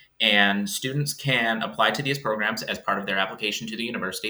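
Noticeable background noise sits behind a man with a fairly low pitch. He speaks at a very fast pace with ordinary pitch variation. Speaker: college admissions officer. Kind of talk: interview.

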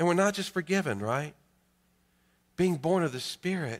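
A man with a North Carolina accent on a very clean recording, the background silent. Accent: North Carolina Southern. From US South, Greensboro, North Carolina. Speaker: pastor. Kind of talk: sermon. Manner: frequent hesitations with uh.

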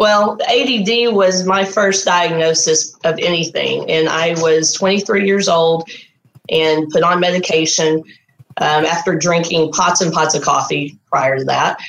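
A woman with a Texan accent speaks at a fairly slow pace and a fairly low pitch. Her pitch varies in an ordinary way and her loudness stays very even. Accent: Southern US, Texan. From Texas. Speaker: artist, program graduate. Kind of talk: interview, personal testimony. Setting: video call.

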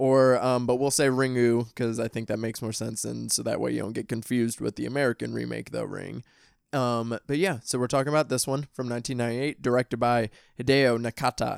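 Dry and close with no echo, on a very clean recording with a silent background, a man with a Midwestern US accent speaks at a fairly quick pace and medium pitch in a monotone, flat way. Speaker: podcast host, horror film reviewer. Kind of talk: casual chat; scripted outro.

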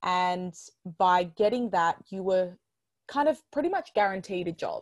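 In a very clean recording with a silent background, a woman with an Australian accent talks at a fairly slow pace and medium pitch. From Melbourne, Australia. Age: 20s. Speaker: podcast host and digital educator. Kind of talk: casual interview chat.

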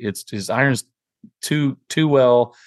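In a dry, close recording with no echo and a quiet background, a man talks in a normal speaking voice at medium pitch with fairly even intonation. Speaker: podcast co-host. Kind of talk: casual chat.

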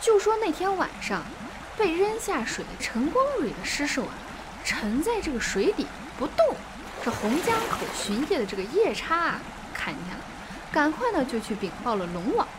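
A woman talks at a moderate pace in a high voice with very wide pitch swings. Long, frequent pauses and noticeable background noise run through the clip. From China, Shaanxi. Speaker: podcast storyteller. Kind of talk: storytelling narration. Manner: animated.

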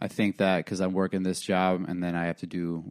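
A man speaks. His voice is very deep and low-pitched. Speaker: comedian guest host. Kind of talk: casual chat. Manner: monotone.

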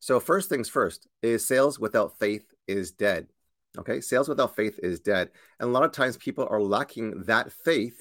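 A man speaks at a moderate pace with an energetic, enthusiastic tone and a medium pitch, in a dry, close recording with no echo. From Canada, Korean-Canadian family. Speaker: sales coach, show host. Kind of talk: live-stream webinar talk. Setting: live video stream.

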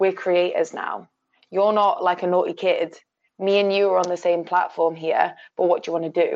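The speaker has a Yorkshire accent and talks at a moderate pace. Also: woman. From Sheffield, northern England. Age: 20s. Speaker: film production manager. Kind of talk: casual chat.

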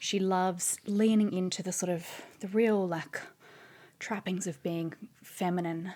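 Over a silent background in a very clean recording, a woman with an Australian accent speaks in a dark, mellow tone and monotone, flat intonation. Her pace is fairly slow, with long, frequent pauses. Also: medium pitch for a woman. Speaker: author and journalist. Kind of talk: casual chat.

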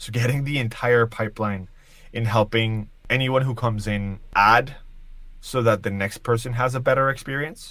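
A man's medium-pitched voice has a bright, sharp tone and fairly even intonation. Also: moderate pace. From Colombia. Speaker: engineering executive. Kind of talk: interview.

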